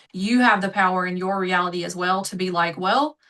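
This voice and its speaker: A woman with a strong Southern US accent, a bright, sharp tone and a moderate pace. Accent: thick Southern US. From US South, South Georgia. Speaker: manifestation coach. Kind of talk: podcast interview. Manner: animated.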